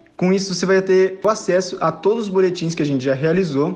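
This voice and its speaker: A man's voice, high in pitch, shows ordinary pitch variation. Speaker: economics student. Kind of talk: scripted presentation.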